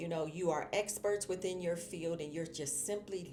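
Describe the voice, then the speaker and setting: Music plays behind a woman whose warm, fairly low voice moves at a moderate pace. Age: 60s. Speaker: marketing professor and motivational speaker. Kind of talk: motivational talk. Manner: warm, conversational.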